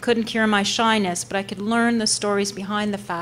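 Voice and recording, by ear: The text is read aloud in a natural voice.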